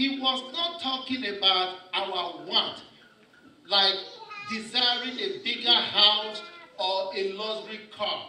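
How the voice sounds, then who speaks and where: A man speaks in a raised, projected voice at a very slow pace, with long, frequent pauses. Light background noise and audible room echo are present. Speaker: pastor. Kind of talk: sermon.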